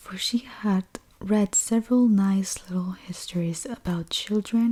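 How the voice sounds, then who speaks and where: Soft-spoken delivery at a fairly slow pace. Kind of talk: book reading aloud, bedtime story.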